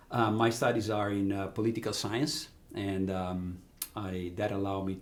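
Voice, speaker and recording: An Italian accent in a recording with audible room echo. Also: man. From Italy, Ravenna on the Adriatic coast. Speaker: business executive. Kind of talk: interview. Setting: podcast.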